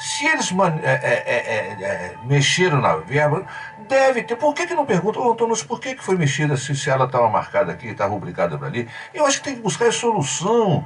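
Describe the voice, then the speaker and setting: Words come fairly quickly while noticeable background noise plays underneath. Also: man. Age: 60s. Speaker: journalist and writer, debate guest. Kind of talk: radio debate.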